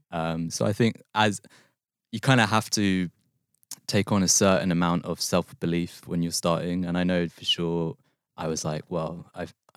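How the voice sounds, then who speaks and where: On a very clean recording with a silent background, a man with a London accent speaks in a very deep, low pitch, the sound dry and close with no echo. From West London. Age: 20s. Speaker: short story writer. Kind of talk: casual chat. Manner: halting.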